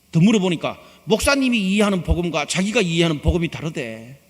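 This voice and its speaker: A high-pitched man's voice with very wide pitch swings at a fairly quick pace. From Gyeongsang region, South Korea. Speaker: pastor. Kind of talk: sermon.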